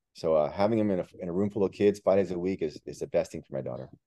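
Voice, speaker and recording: Here a man speaks in a Miami accent. The sound is dry and close, with no echo. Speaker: author and real estate agent. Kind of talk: casual interview.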